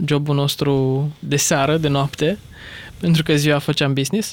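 This man's voice sits fairly high for a man and runs in a flat monotone. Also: very even loudness. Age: 20s. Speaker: entrepreneur. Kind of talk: interview. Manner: hesitant.

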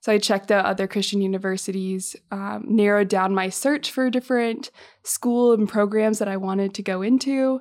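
With an American accent, a woman speaks in a normal speaking voice at medium pitch, keeping a moderate pace and fairly even intonation. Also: very clean recording, silent background. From Massachusetts, north of Boston. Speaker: university student co-host. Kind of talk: casual interview. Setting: office.

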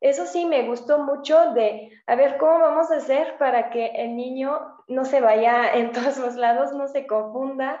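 A woman with a high pitch and a slight French accent talks at a fairly slow pace with hardly any pauses, over audible room echo. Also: ordinary pitch variation. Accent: faint French accent in Spanish. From France, Mâcon area north of Lyon. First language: French (speaking Spanish). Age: 20s. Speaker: French teacher. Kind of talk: casual interview.

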